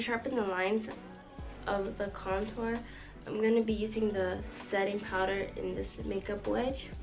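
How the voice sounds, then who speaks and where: A woman talks in a medium pitch while music plays behind her. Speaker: beauty YouTuber. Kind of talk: makeup tutorial talk to camera. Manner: monotone.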